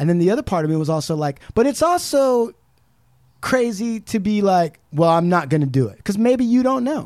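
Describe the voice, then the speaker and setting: A man with an American accent talks at a fairly quick pace in a high pitch, with very wide pitch swings. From Southern California. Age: 40s. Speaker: podcast co-host. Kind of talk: casual chat. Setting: studio.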